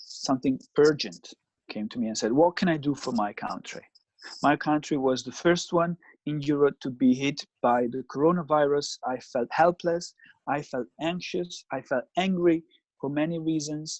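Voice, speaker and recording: With an Italian accent, a man talks at a moderate pace in a fairly high voice with ordinary pitch variation. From Italy, Milan. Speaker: psychoanalyst. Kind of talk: interview.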